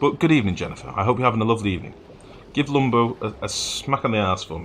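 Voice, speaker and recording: A man talking at a very fast pace, lively intonation and big swings in loudness. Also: medium pitch for a man. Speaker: video game streamer. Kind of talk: live gameplay commentary. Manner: casual, chatty.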